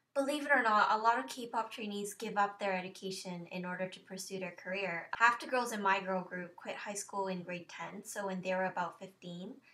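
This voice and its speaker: Over noticeable background noise, a woman with a medium pitch talks fairly quickly with hardly any pauses. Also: ordinary pitch variation, big swings in loudness. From South Korea. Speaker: former K-pop trainee, YouTuber. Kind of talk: Q&A vlog.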